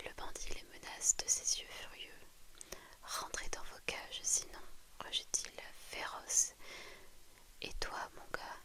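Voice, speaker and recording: A whispering woman at a very slow pace, with long, frequent pauses and noticeable background noise. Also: big swings in loudness. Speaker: ASMR creator. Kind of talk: whispered bedtime story reading. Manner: whispered.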